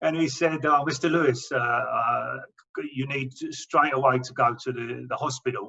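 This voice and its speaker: Speaking at a moderate pace with an English accent, a man at medium pitch has a bright, sharp tone, vocal fry and fairly even intonation. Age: 60s. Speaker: cancer patient. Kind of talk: testimony. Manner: halting, with repetitions.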